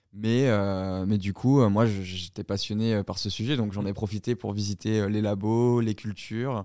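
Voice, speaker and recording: A man at a fairly low pitch and fairly slow pace, with fairly even intonation and hardly any pauses, in a very clean recording with a silent background. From southern France. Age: 20s. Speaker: entrepreneur. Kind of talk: interview. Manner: halting, with many fillers and repetitions.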